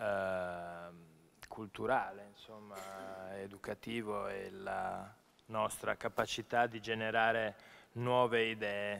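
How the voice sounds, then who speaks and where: A man's very slow, monotone delivery, flat in intonation and fairly low in pitch. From Milan, northern Italy. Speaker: journalist and event moderator; speaker. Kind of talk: panel moderation. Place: hall. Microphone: podium.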